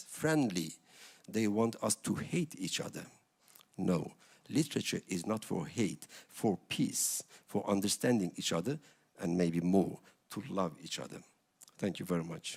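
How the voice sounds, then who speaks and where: A man with a Kurdish accent talks at a moderate pace, with long, frequent pauses. His pitch swings very widely. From Kurdish region of Turkey. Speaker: writer. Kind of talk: panel speech.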